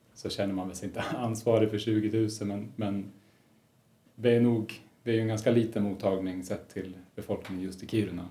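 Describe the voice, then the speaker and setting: This man speaks at a moderate pace in a fairly low pitch, his tone dark and mellow and his intonation monotone and flat. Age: 30s. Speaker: resident doctor in psychiatry. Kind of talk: interview.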